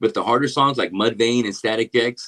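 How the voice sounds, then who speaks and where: A man with a plain, everyday voice and a medium pitch talks at a fairly quick pace, in dry, close sound with no echo. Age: 30s. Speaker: metal singer and podcast host. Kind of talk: casual interview. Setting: studio.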